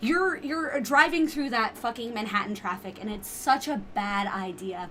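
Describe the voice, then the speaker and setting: Loud and high in pitch, a woman speaks at a moderate pace with an American accent and very wide pitch swings, with noticeable background noise behind her. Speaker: podcast guest. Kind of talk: casual chat. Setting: video podcast recording.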